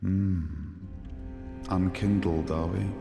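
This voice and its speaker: Over clear background music, a man in a put-on character voice speaks at a very deep, low pitch with monotone, flat intonation. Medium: video game. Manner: wry, questioning.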